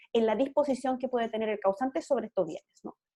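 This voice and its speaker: A woman speaks at a fairly high pitch with lively intonation. Her tone is dark and mellow. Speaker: law lecturer. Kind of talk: lecture. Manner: fast.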